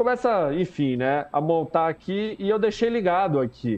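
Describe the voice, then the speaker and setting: A man's high voice with lively intonation. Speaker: live show commentator on reality TV. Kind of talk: casual live-stream chat.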